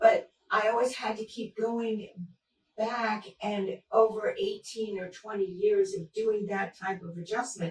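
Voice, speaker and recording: A woman with a fairly high pitch speaks at a fairly slow pace, somewhat breathy, with fairly even intonation and big swings in loudness. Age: 70s. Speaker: patient. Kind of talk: testimony.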